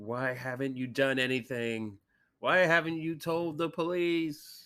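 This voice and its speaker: Using a put-on character voice pitched fairly high, a man speaks fairly slowly in a very clean recording with a silent background. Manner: angry.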